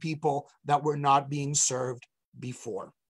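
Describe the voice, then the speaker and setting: A man speaks in a somewhat breathy voice. His pace is fairly slow and his intonation fairly even. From Colombia. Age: 40s. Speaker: rabbi. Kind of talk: interview on a live webcast. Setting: online video call, streamed live.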